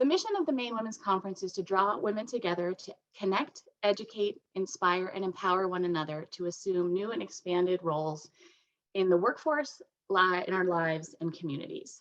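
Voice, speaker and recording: A woman speaks in a normal speaking voice at a medium pitch. Her pace is fairly quick, and her pitch varies in an ordinary way. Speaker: interviewer, conference board member. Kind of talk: event host introduction.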